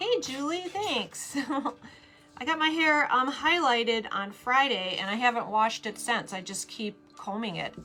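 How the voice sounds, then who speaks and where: Over noticeable background noise, a woman speaks at a high pitch with very wide pitch swings. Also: moderate pace. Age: 50s. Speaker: craft streamer. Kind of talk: casual chat during live craft stream. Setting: live video stream. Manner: chatty.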